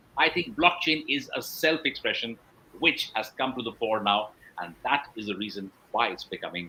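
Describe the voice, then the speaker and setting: With an ordinary speaking voice, a man talks at a medium pitch and a moderate pace, his intonation lively. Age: 60s. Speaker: blockchain entrepreneur and advisor. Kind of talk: interview.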